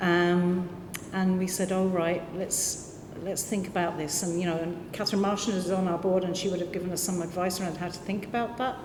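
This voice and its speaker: A woman speaks at a fairly quick pace in a medium pitch, with audible room echo and noticeable background noise. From London. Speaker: community arts organisation director. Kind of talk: panel discussion. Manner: halting.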